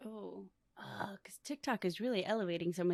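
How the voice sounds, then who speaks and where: A woman with an American accent talks at a fairly quick pace in a bright, sharp tone with ordinary pitch variation, on a very clean recording with a silent background. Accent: Chicago American English with Spanglish. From US, Chicago south side. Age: 30s. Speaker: lifestyle brand owner and podcaster. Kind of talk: casual interview chat.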